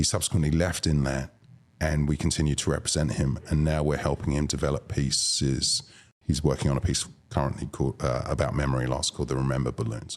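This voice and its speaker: A man's very deep, low voice in a British accent, very fast, with very even loudness and fairly even intonation. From London, England. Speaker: arts booking agent. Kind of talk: podcast interview.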